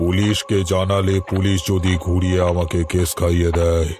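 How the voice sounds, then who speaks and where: In a cartoonish character voice, a man talks at a fairly slow pace with a very deep, low pitch and monotone, flat intonation over clear background noise. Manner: eerie, sly.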